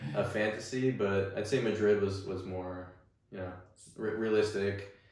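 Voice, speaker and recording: A man's fairly low, somewhat breathy voice at a moderate pace, with an American accent and audible room echo. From New York area (Staten Island, Bergen County NJ). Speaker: music venue executive. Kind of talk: interview chat.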